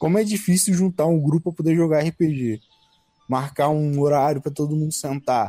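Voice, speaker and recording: With an unremarkable speaking voice, a man talks at a moderate pace and fairly high pitch, using ordinary pitch variation, in a dry, close sound with no echo. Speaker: podcast co-host. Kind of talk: casual chat.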